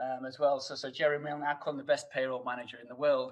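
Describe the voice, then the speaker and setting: Here a man speaks very fast in a strong northern English accent. His pitch is medium and his intonation fairly even. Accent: thick northern English. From northern England, Sheffield. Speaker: hotel HR director. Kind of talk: casual chat. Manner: halting, many fillers and repeats.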